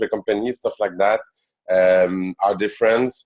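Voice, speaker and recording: On a very clean recording with a silent background, a man with a Quebec accent talks at a fairly slow pace. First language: French. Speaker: network marketing business leader. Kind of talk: business presentation. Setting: conference call. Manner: halting, many fillers.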